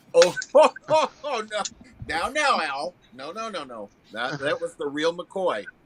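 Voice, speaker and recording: Amid noticeable background noise, a man with a high pitch talks at a fairly slow pace, with very wide pitch swings and big shifts in loudness. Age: 60s. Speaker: livestream regular. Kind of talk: casual chat.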